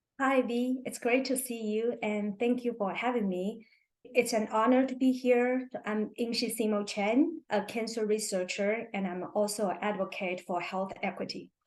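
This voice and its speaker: A woman's fairly high voice in a Chinese accent, fairly even in intonation, with hardly any pauses. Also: moderate pace. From China. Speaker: cancer researcher and health equity advocate. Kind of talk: podcast interview. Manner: halting.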